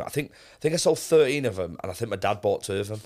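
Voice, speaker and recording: In a Mancunian accent, a man speaks very fast with ordinary pitch variation on a very clean recording with a silent background. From Manchester, England. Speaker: streamer and football club presenter. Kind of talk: casual chat.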